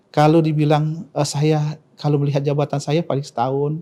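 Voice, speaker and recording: Somewhat breathy, a man with a fairly high pitch and a dark, mellow tone speaks at a moderate pace in a monotone, flat intonation. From South Sumatra, Indonesia. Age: 40s. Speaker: provincial government official, doctor. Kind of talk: interview. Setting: studio podcast. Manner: halting, with many fillers.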